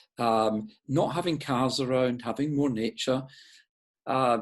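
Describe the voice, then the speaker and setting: Here a man talks at a medium pitch and a moderate pace. He has a slight Scottish accent, and the background is quiet. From Scotland, Glasgow. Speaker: urban designer. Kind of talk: interview. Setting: video call. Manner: halting.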